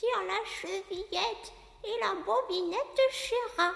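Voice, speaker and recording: A squeaky, extremely high-pitched put-on character voice at a fairly slow pace. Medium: read story. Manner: flustered, stammering.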